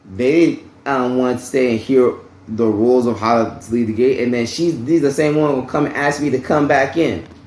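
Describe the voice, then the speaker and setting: A man with a medium-pitched voice speaks at a moderate pace with fairly even intonation, and some room echo can be heard. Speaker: vlogger. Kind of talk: personal storytelling vlog. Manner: loud; casual, conversational.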